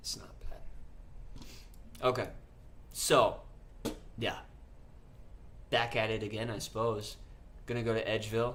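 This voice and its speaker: A man at a fairly slow pace, with audible room echo, big swings in loudness and long, frequent pauses. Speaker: gaming streamer. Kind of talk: live stream gameplay chat. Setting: live stream. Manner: casual.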